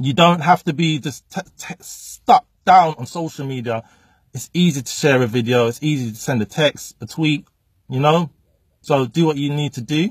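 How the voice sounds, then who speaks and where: A man with a fairly high pitch sounds somewhat breathy, his loudness swinging widely and his speech broken by long, frequent pauses, in a dry sound with no echo. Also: ordinary pitch variation, moderate pace, quiet background. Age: 30s. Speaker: motivational speaker. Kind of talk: direct-to-camera vlog monologue. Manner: casual, unscripted. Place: car. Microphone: phone near.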